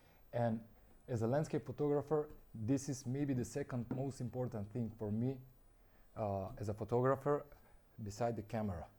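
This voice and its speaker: On a very clean recording with a silent background, a man with a non-native accent speaks at medium pitch in a somewhat breathy voice with a dark, mellow tone, ordinary pitch variation and long, frequent pauses. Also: moderate pace. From North Macedonia. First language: Macedonian. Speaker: landscape photographer, brand ambassador. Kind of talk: product presentation. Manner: halting, with frequent fillers.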